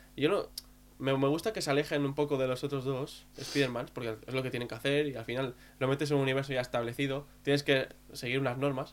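A man talks at a moderate pace in a plain, everyday voice. His pitch is fairly high. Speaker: podcast co-host. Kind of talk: casual chat.

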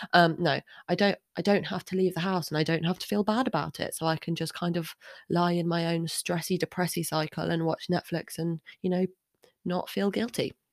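A woman's fairly low voice at a fairly quick pace, with fairly even intonation, dry and close with no echo, on a very clean recording with a silent background. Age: 20s. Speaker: podcast host. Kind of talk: solo monologue. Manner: halting, many fillers.

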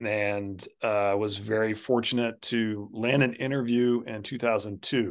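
With a quiet background, a man in an ordinary speaking voice talks at a fairly slow pace, with fairly low pitch and fairly even intonation. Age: 50s. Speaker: artist and art educator. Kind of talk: casual chat.

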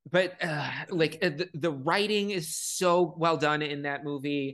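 Very slow speech with an American accent over a quiet background. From Chicago. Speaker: horror video creator. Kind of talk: casual chat.

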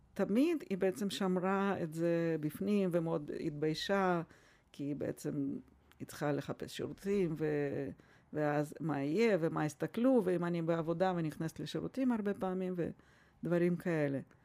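A woman speaks at a fairly slow pace in a fairly low pitch, with a dark, mellow tone. Her pitch varies in an ordinary way, and the recording is very clean with a silent background. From Russia. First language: Russian (speaking Hebrew). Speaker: family doctor. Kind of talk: interview.

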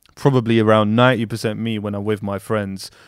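Against a silent background in a very clean recording, a man with a London accent speaks fairly slowly at medium pitch with fairly even intonation. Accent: London Multicultural English. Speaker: podcast guest. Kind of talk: casual chat. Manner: moves around on the mic.

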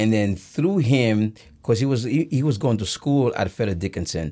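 A dark, mellow tone with lively intonation, in a Haitian accent. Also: man. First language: Haitian Creole. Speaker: breakdancer and fitness trainer. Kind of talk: casual chat. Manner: hesitant with many fillers.

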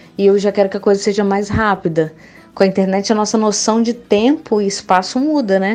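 With noticeable background noise behind her, a woman talks at a moderate pace and a fairly high pitch. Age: 20s. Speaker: advertising student. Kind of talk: casual interview.

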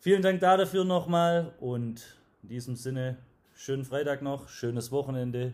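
The voice moves at a moderate pace, with ordinary pitch variation and big swings in loudness. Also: man, fairly high pitch for a man. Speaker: podcast host and sales trainer. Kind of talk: interview. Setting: at guest's company premises.

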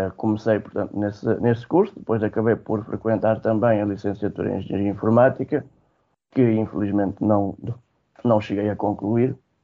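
Using an unremarkable speaking voice, a man talks at a moderate pace. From Alentejo, Portugal (Alcácer do Sal). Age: 20s. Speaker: IT trainer for blind people. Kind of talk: radio interview.

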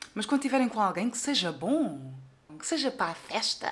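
Animated in tone, a woman talks at a moderate pace. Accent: European Portuguese. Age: 20s. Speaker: podcaster. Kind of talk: casual monologue.

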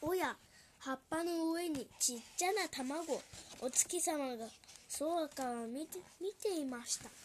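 A woman speaks very slowly in a high-pitched voice with ordinary pitch variation. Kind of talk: children's picture-book reading aloud in Japanese, translating each English line.

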